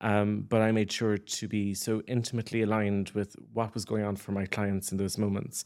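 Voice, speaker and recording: On a very clean recording with a silent background, a man with a Cork accent speaks at a fairly low pitch. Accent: Irish (Cork). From Ireland, West Cork. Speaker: communications agency founder. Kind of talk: interview. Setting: studio.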